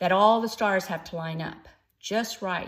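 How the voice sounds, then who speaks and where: Using ordinary pitch variation, a woman speaks at a fairly slow pace in an American accent. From Texas, Austin. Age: 60s. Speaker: first-time author and newsletter writer. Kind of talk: personal introduction video to camera, reading from cue cards. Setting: in front of a camera, unedited.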